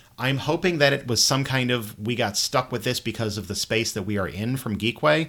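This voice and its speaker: A man with lively intonation, in a very clean recording with a silent background. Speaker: board game podcast host. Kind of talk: casual chat. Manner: loud.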